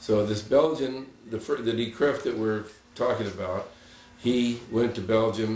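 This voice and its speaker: Through noticeable background noise and audible room echo, a man speaks with a fairly low pitch. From Santa Barbara, California, after early childhood in France and Spain. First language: Spanish. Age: 90s. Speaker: retired bush pilot. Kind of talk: casual storytelling interview. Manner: halting, with frequent restarts.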